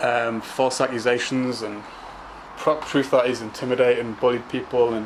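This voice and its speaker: Moderate pace with noticeable background noise. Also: man. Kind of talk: casual talk to camera. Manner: stammering, hesitant.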